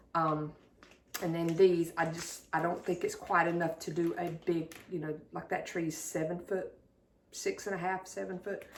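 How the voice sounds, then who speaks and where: A woman's fairly low voice in a Southern US accent, flat and monotone in intonation. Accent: southern drawl. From South Carolina. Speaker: YouTuber showing thrift finds. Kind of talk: casual haul video. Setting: at home, dining room.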